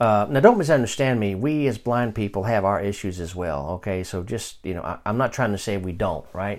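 Recorded very cleanly against a silent background, a man speaks at a fairly quick pace in an ordinary speaking voice. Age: 50s. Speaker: Bible teacher and podcast host. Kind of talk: Bible study lesson. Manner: conversational, with frequent fillers and restarts.

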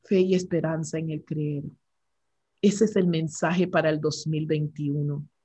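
A woman talks very slowly in a very deep, low pitch, somewhat breathy, with a dark, mellow tone. Her intonation is fairly even. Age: 60s. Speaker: regional director of a women's prayer ministry. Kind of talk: interview. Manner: hesitant, with fillers.

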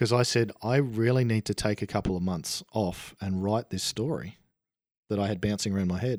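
On a very clean recording with a silent background and a dry, close sound with no echo, a man speaks in a fairly low pitch with an Australian accent. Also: ordinary pitch variation, moderate pace. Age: 40s. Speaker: author. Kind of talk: casual interview.

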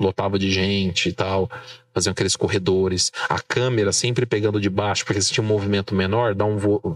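Speaking at a fairly quick pace, a man with a fairly low pitch comes through dry and close with no echo, though background noise is noticeable. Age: 30s. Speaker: journalist, political marketing. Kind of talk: casual interview. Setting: studio with camera.

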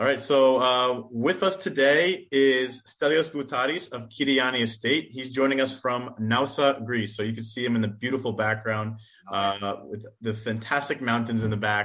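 A man with an American accent speaks in a plain, everyday voice at a medium pitch. His moderate pace has hardly any pauses and ordinary pitch variation. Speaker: wine importer. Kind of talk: interview. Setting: video call.

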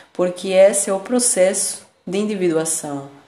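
A woman at medium pitch, fairly slow in pace, with ordinary pitch variation and audible room echo. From Argentina, Buenos Aires. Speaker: spiritual podcast host. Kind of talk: reflective monologue.

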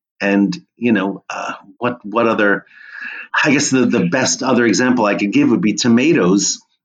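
A man with an American accent has a plain, everyday voice at a medium pitch. He talks at a moderate pace with ordinary pitch variation. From New Jersey (Monmouth County). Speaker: history professor and food historian. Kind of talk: interview conversation.

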